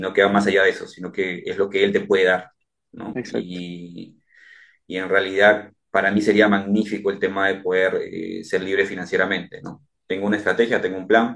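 A man talks fairly quickly at a fairly low pitch in a monotone, flat intonation. His loudness swings widely. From Peru, Chincha. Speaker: police officer and entrepreneur. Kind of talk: interview testimony. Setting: remote call from home. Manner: halting, many fillers and repetitions.

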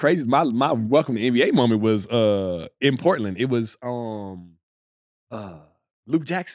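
A man with an American accent and a plain, everyday voice speaks at a moderate pace with medium pitch and lively intonation against a quiet background. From Texas, Dallas. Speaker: retired NBA player. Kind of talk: casual chat.

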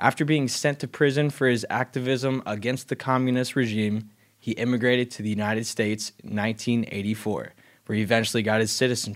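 Over a very clean recording with a silent background, a man speaks in a plain, everyday voice at medium pitch. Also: fairly even intonation, fairly quick pace. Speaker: podcast co-host. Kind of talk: casual chat.

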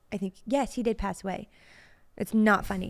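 Over a silent background in a very clean recording, a woman does a put-on character voice that is raspy, medium in pitch and at a moderate pace. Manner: laughing while speaking.

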